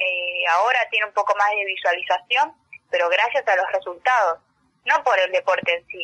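A woman with a normal speaking voice talks at a moderate pace and medium pitch. Her pitch varies in an ordinary way, though her loudness swings widely. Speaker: sports journalist and taekwondo athlete. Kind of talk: radio interview.

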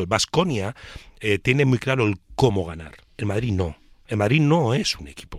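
Recorded very cleanly over a silent background, a man talks at a fairly quick pace in an unremarkable speaking voice with ordinary pitch variation. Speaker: basketball pundit. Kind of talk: casual chat.

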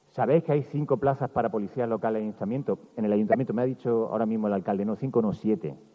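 A man is speaking. His pace is very fast. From Andalusia, Bailén (Jaén). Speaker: journalist giving a festival proclamation speech. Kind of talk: public proclamation speech. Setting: outdoor town square stage with audience. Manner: animated.

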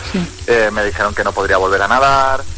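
There is noticeable background noise behind this man. He speaks at a fairly quick pace with ordinary pitch variation. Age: 30s. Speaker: motivational coach. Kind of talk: radio interview. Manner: enthusiastic.

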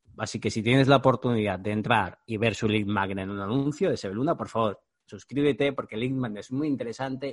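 At a fairly quick pace, a man uses a normal speaking voice with lively intonation. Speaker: podcast host, digital marketing mentor. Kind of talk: scripted monologue intro; casual interview.

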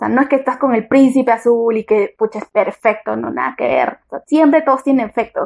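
A woman speaks at a high pitch and a fairly quick pace. Her intonation stays fairly even against a quiet background. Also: hardly any pauses, dry, close sound with no echo. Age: 20s. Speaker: podcast guest, former taxi driver. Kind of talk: casual debate.

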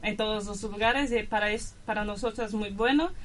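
A woman's fairly high-pitched voice, with noticeable background noise and audible room echo. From Brazil, São Paulo. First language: Portuguese (speaking Spanish). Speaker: exchange student. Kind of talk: radio interview.

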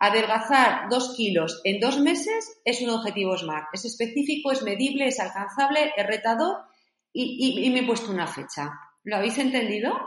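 Fairly high-pitched woman's voice with lively intonation and a moderate pace, plus audible room echo. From Spain, Zaragoza. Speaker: author and coach. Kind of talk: interview.

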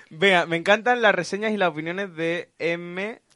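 Moderate pace over a quiet background. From Málaga, Andalusia, Spain. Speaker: radio show co-host. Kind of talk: casual chat. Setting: studio, live-streamed radio show.

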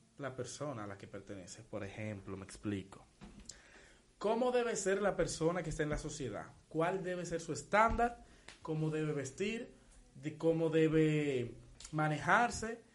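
A man speaks fairly slowly in a fairly high voice, with very wide pitch swings and big shifts in loudness. Long, frequent pauses break up his speech, and room echo is audible. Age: 19. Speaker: podcast co-host. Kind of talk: casual chat.

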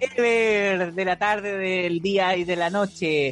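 Music plays in the background. The speaker has a Chilean accent. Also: woman. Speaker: podcast co-host. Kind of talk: casual chat.

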